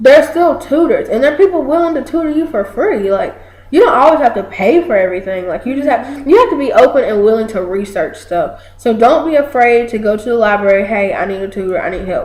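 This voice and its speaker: A loud woman with a high voice talks at a very fast pace in an animated tone, her pitch swinging very widely and hardly any pauses breaking her speech. Noticeable background noise and audible room echo fill the recording. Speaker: college student, video co-host. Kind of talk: casual chat.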